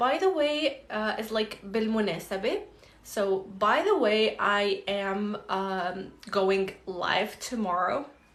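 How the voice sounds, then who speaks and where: Someone with an Arabic accent speaks very slowly with lively intonation, amid audible room echo and noticeable background noise. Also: woman. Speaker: language teacher, polyglot content creator. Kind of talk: live Q&A tutorial. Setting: livestream. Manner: casual, many fillers.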